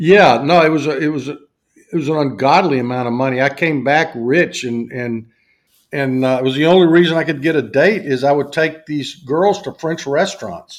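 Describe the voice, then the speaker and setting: The speaker has a Southern US accent. The pace is moderate, and the pitch varies in an ordinary way. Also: man, fairly high pitch for a man. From US South. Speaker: university faculty member and business executive. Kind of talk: casual interview chat.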